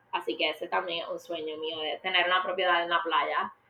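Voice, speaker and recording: There is noticeable background noise. Over it, a woman with a fairly low pitch speaks at a moderate pace. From Puerto Rico. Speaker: media industry professional. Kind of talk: interview.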